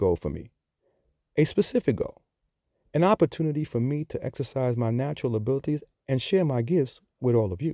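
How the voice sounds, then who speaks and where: A man talks at a fairly quick pace with lively intonation and long, frequent pauses, his tone dark and mellow. The sound is dry and close with no echo, and the recording is very clean with a silent background. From Bronx, New York. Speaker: podcast host. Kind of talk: scripted-style podcast monologue.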